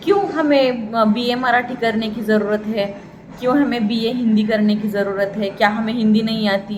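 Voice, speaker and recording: A woman with a Marathi accent and a fairly high pitch speaks amid noticeable background noise and audible room echo. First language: Marathi (speaking Hindi). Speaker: Hindi pedagogy lecturer. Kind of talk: lecture.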